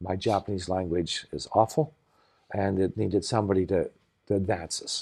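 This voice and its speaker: Against a quiet background, a man with a Canadian accent speaks in a dark, mellow tone at a fairly low pitch with ordinary pitch variation. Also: moderate pace. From Canada, Saskatchewan. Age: 60s. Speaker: nonprofit founder and sailor. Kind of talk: interview conversation. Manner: halting, many false starts.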